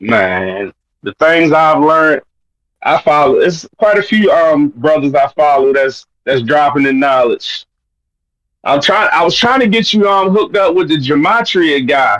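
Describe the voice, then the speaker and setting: Recorded dry and close with no echo, a man with a Baltimore accent speaks at a fairly slow pace and fairly high pitch, his loudness very even and his pitch swinging very widely. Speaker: caller. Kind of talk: casual chat.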